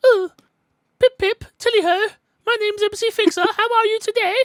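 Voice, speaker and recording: A put-on character voice with an extremely high pitch. It moves along at a moderate pace. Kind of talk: formal, old-fashioned slang.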